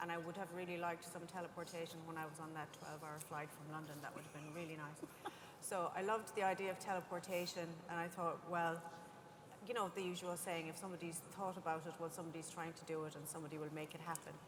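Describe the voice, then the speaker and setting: A woman's fairly low voice in an Irish accent, very fast and monotone with flat intonation, with audible room echo. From Ireland. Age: 50s. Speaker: scientist and industry panelist. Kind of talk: panel discussion.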